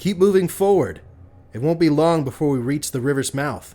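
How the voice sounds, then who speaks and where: Putting on a gruff character voice, a man speaks at a moderate pace with a fairly high pitch and ordinary pitch variation. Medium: read story. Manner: stern, gruff.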